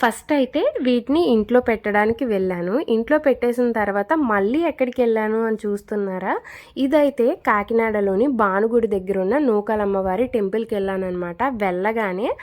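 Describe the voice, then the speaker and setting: The pitch varies in an ordinary way. It is a plain, everyday voice. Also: woman, fairly high pitch for a woman. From Kakinada, Andhra Pradesh, India. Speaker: vlogger. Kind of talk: casual vlog narration.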